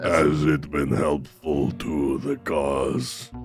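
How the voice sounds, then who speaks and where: Over clear music in the background, a man puts on a raspy character voice with a very deep, low pitch and speaks at a very slow pace. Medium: actual play. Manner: slow, literal, broken phrasing.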